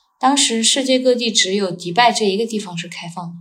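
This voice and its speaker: Somewhat breathy, this voice moves through ordinary pitch variation. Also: woman. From China. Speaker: world traveler and Chinese tutor. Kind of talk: casual interview.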